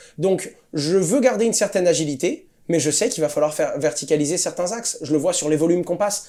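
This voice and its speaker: Talking at a very fast pace with hardly any pauses, a man has a high pitch and a dark, mellow tone. His pitch varies in an ordinary way. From Corsica, France. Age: 20s. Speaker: crypto entrepreneur and YouTuber. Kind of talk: interview. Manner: fast, with fillers and repetitions.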